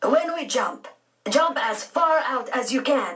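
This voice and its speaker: A woman's put-on character voice, high and raspy, with lively intonation and a fairly slow pace. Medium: read story. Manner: simple phrasing, gentle.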